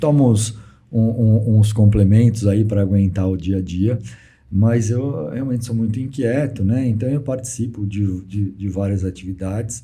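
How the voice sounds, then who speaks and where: The voice has a dark, mellow, somewhat breathy tone and ordinary pitch variation at a fairly slow pace, with audible room echo. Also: man, fairly low pitch for a man. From Brazil, São Carlos (São Paulo state). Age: 60s. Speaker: real estate businessman. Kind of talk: interview. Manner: halting, repeats words.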